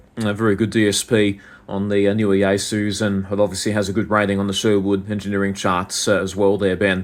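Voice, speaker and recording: This man talks at a fairly quick pace with an Australian accent. His fairly low voice stays monotone and flat. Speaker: ham radio operator. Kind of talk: radio contact conversation. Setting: amateur radio over the air. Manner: halting, many fillers.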